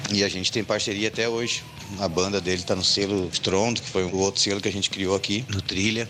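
Here a man talks in a southern Brazilian accent at a fairly quick pace. His voice is fairly low, with monotone, flat intonation. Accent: gaúcho Brazilian Portuguese. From Rio Grande do Sul, Brazil (Sapucaia do Sul). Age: 40s. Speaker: musician and cultural venue owner. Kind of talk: interview.

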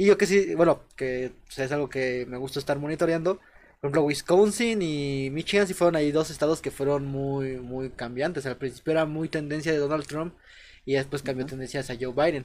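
Fairly high in pitch, a man talks at a fairly quick pace. His is an unremarkable speaking voice. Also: ordinary pitch variation. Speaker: podcast host. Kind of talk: casual chat.

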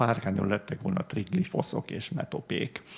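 The delivery holds a moderate tempo. Noise in the background can be clearly heard. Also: man. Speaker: art historian, book author. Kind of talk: panel discussion. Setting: library event with audience. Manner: halting, many fillers.

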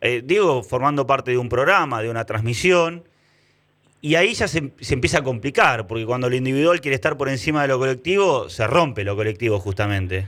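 Speaking at a fairly quick pace, a man with a plain, everyday voice talks at a medium pitch with lively intonation. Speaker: sports journalist, interviewer. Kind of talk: casual interview.

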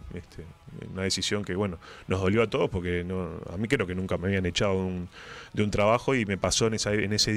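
A man speaks in a plain, everyday voice with a fairly low pitch and fairly even intonation. The recording is very clean, with a silent background. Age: 40s. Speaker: radio host and writer. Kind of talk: casual interview chat.

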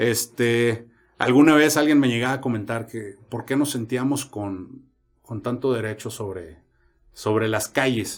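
The man has an ordinary speaking voice with a medium pitch and ordinary pitch variation. He talks at a fairly slow pace. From Mexico, San Luis Potosí. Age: 30s. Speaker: podcast host, motorcyclist. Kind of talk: casual chat.

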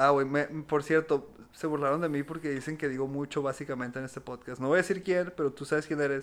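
A man's plain, everyday voice, fairly high-pitched, at a fairly quick pace with hardly any pauses and fairly even intonation, on a very clean recording against a silent background. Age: 20s. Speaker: comedy podcast co-host. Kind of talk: casual chat.

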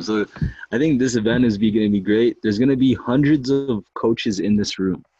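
His tone dark and mellow, a man speaks with ordinary pitch variation. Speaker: podcast host. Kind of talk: interview. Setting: live video stream. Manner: energetic.

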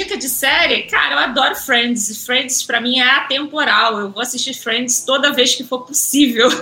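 With a Rio de Janeiro accent, a woman speaks in a raised, projected voice at a high pitch, with ordinary pitch variation and a moderate pace. She leaves hardly any pauses while music plays in the background. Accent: Carioca Brazilian Portuguese. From Rio de Janeiro suburbs, Brazil. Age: 30s. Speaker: journalist and press officer. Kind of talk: casual interview.

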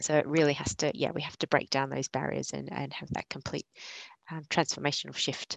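A woman with an Australian accent, her voice dry and close with no echo. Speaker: sustainability consultant. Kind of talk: panel discussion. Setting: video call.

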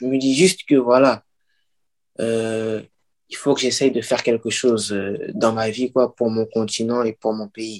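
In a dry, close sound with no echo, a man's speech unfolds at a fairly slow pace. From Paris region (Pantin), France. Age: 20s. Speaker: author. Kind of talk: interview. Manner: halting.

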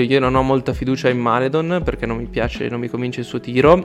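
At a very fast pace, a man talks at medium pitch amid noticeable background noise. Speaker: basketball analyst. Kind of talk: casual chat.

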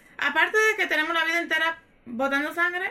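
Raising and projecting her voice, a woman talks at a fairly quick pace in a bright, sharp tone. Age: 30s. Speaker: podcast guest. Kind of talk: casual chat.

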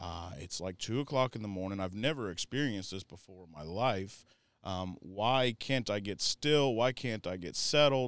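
In a plain, everyday voice, a man with an American accent speaks at a moderate pace, his fairly low pitch paired with lively intonation and big swings in loudness on a very clean recording with a silent background. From Florida. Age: 30s. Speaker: recovery nonprofit leader. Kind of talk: personal testimony.

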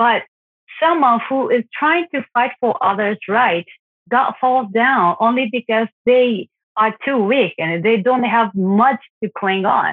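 A woman with a Japanese accent, fairly high-pitched, at a very slow pace. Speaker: parent of an abducted child. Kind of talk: interview testimony. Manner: halting, many fillers.

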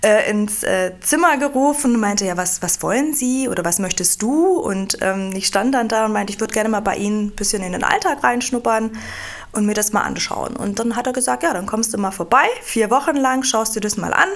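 A woman's fairly high voice at a moderate pace, ordinary pitch variation, and noticeable background noise behind her. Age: 40s. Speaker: HR director and lawyer. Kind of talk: interview. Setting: studio. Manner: hesitant with frequent fillers.

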